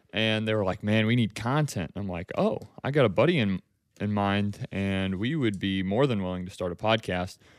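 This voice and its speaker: On a very clean recording with a silent background, a man speaks in a plain, everyday voice at a fairly low pitch, with ordinary pitch variation and a moderate pace. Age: young. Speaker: college student. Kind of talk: casual chat.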